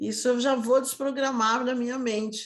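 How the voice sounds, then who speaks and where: A woman's high-pitched voice. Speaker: sales mentor. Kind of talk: online lesson. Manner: animated.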